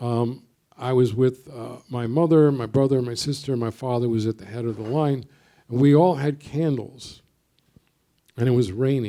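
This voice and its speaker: A man with a New York accent talks at a moderate pace in a dark, mellow tone. His loudness swings widely. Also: medium pitch for a man, ordinary pitch variation. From US Northeast, Brooklyn, New York. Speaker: poet. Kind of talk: panel discussion.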